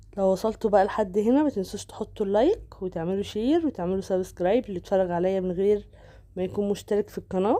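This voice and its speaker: A woman with an Egyptian accent speaks at a fairly quick pace in a dark, mellow tone with ordinary pitch variation against a quiet background. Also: medium pitch for a woman, hardly any pauses. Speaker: cooking vlogger. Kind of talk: cooking tutorial. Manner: casual, chatty.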